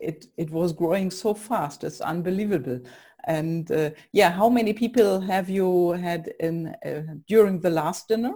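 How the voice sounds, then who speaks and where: With a German accent, a woman speaks at a medium pitch in a dark, mellow tone with ordinary pitch variation. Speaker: podcast host. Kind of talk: interview.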